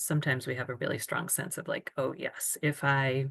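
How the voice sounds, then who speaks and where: Against a quiet background, a woman with a very deep, low pitch and vocal fry talks at a fairly quick pace. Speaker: self-care workshop presenter. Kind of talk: online seminar presentation.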